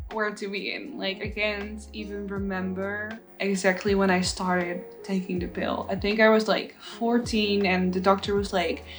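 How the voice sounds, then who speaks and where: A woman with a Dutch accent talks at a moderate pace in a medium pitch, her intonation monotone and flat, with hardly any pauses, music in the background and audible room echo. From Netherlands. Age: 20s. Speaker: plus size model and body positivity influencer. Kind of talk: casual vlog story time.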